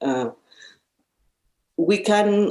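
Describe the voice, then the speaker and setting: A woman is speaking. She has a Mexican accent. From central Mexico. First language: Spanish. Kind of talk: interview conversation. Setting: in-person conversation at a social service agency office. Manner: halting, with repetitions.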